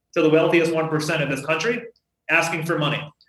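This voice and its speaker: Talking at a very fast pace, a man with an American accent uses a high pitch, and audible room echo surrounds him. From western Massachusetts, Holyoke. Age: 30s. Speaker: mayor and congressional candidate. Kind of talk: interview.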